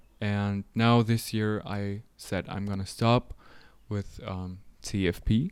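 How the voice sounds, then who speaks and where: A man with a German accent speaks very slowly in a monotone, flat intonation at a fairly low pitch, in a very clean recording with a silent background. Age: 20s. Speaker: photographer. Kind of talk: casual interview chat.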